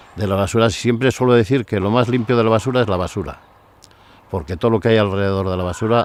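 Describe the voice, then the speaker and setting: A man's voice amid noticeable background noise. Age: 70s. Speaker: local resident interviewee. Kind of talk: documentary interview.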